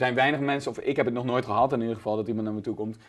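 A man's voice with fairly even intonation. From Netherlands, near Nijmegen (Gelderland); Gelderland, Netherlands. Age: 30s. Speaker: comedian. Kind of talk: casual interview. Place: studio. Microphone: lapel.

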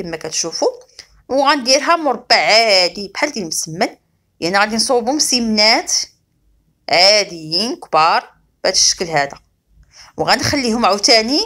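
A fairly high-pitched woman at a moderate pace, very wide pitch swings, and long, frequent pauses. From Morocco. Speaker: cooking channel host. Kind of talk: cooking tutorial. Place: kitchen. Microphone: phone near.

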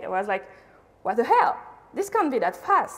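A woman speaks with a French accent. Her pitch swings very widely. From France. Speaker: conference speaker, UX designer; conference speaker. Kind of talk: conference talk. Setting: stage with audience. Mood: casual, lively storytelling. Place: hall.

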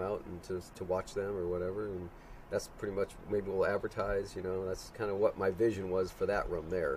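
Against light background noise, a man with an American accent speaks in a very deep, low pitch with monotone, flat intonation. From Chicago, US Midwest. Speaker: homeowner of the filming location; interviewee. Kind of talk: interview. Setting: in his house. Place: open country.

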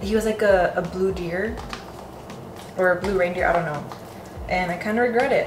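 A woman at a fairly quick pace, ordinary pitch variation, noticeable background noise behind her. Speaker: home cooking vlogger. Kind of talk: casual vlog chat. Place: kitchen. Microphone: camera far.

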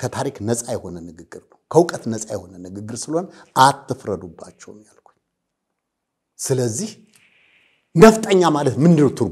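Against a quiet background, a man with a medium-pitched, somewhat breathy voice makes very wide pitch swings and big swings in loudness. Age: 60s. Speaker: political commentator. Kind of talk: interview. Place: studio. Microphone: lapel.

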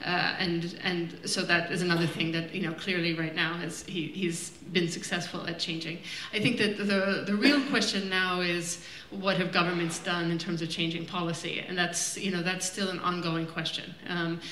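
A woman with hardly any pauses, audible room echo and light background noise. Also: fairly low pitch for a woman, fairly even intonation, moderate pace. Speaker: film director on panel. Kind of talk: Q&A answer. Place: stage.

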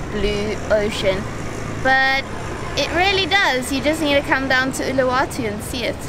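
Noticeable background noise behind fairly slow talking. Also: woman, dry sound with no echo. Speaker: travel vlogger. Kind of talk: casual vlog chat. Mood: relaxed, enthusiastic. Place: beach. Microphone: phone near.

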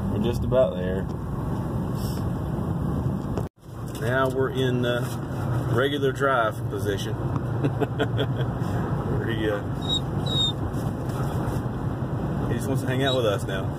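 Loud background noise fills the clip. The speech is fairly slow, with long, frequent pauses. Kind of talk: casual vlog chat. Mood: cheerful, amused. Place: car. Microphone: phone near.

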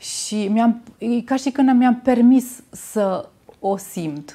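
A woman speaks at a fairly high pitch in a dark, mellow tone with ordinary pitch variation. The background is quiet. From Romania, Timișoara; Romania. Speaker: natural cosmetics maker; interview guest. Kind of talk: interview. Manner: halting. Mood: warm, reflective. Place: studio.

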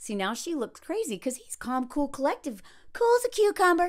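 A woman with an American accent speaks in a raised, projected voice at a moderate pace. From US South. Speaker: video creator and dating commentator. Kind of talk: opinionated commentary. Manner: animated. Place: home room. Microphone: phone near.

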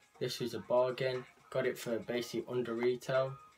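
Over music in the background, a man speaks at a moderate pace. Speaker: clothing haul vlogger. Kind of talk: casual vlog chat. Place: home room.

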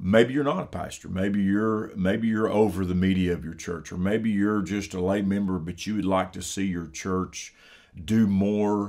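In a very clean recording with a silent background, a man speaks low in pitch with a slightly mellow tone and fairly even intonation. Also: moderate pace.

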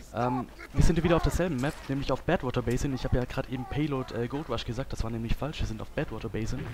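Amid noticeable background noise, a man talks very fast at a medium pitch with ordinary pitch variation. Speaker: gaming video creator. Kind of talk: let's play commentary. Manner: casual, frequent filler sounds.

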